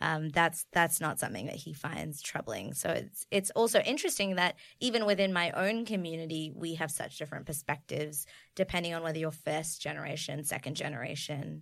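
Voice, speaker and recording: A woman's very deep, low voice with vocal fry and ordinary pitch variation, on a very clean recording with a silent background. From Australia and New Zealand, Bengali family. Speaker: podcast guest. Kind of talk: casual chat.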